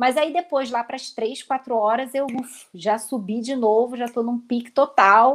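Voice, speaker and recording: In a Rio de Janeiro accent, a woman talks at a moderate pace with a high pitch and fairly even intonation, hardly pausing at all. The recording is very clean, with a silent background. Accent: carioca (Rio). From Rio de Janeiro, Brazil. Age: 30s. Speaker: lawyer and organization content creator. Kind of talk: casual interview on a livestream. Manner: talkative, long-winded.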